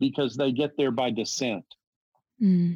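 An ordinary speaking voice with an American accent carries lively intonation in a dry, close sound with no echo. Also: man. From US South. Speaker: theology professor. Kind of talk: interview, theological discussion.

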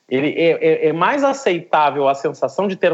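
Very wide pitch swings at a moderate pace, in a southern Brazilian accent. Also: man. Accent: gaúcho (southern Brazilian). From southern Brazil, Rio Grande do Sul. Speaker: philosophy professor. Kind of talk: discussion. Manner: halting, with frequent repetitions.

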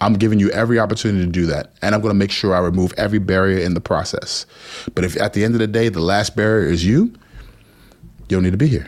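In an American accent, a man with a fairly low pitch talks at a very fast pace. His loudness stays very even, with ordinary pitch variation. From New Jersey. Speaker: school principal and education consultant. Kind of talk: interview.

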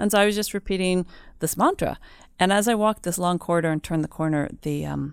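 In an American accent, a woman speaks very fast in a fairly low pitch with ordinary pitch variation, on a very clean recording with a silent background. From United States. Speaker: former prisoner, speaker. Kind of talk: interview testimony.

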